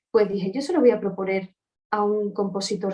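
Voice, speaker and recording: A woman's medium-pitched voice moves fairly quickly, showing ordinary pitch variation. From Andalusia, Seville. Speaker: opera singer. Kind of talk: interview. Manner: animated.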